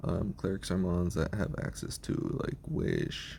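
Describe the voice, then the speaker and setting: With vocal fry and a very deep, low pitch, a man speaks at a fairly slow pace. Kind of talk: casual talk to camera. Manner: hesitant, many fillers.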